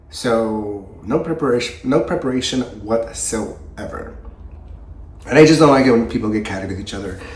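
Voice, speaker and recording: Amid noticeable background noise and audible room echo, a man speaks at a medium pitch and a moderate pace. His pitch variation is ordinary, while his loudness swings widely. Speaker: horror book youtuber. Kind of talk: casual book review vlog. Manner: casual, conversational with fillers.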